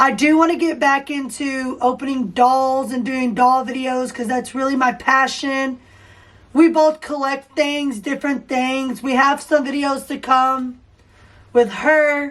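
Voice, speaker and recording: At a high pitch, a woman speaks at a fairly slow pace in a flat monotone. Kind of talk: casual chat.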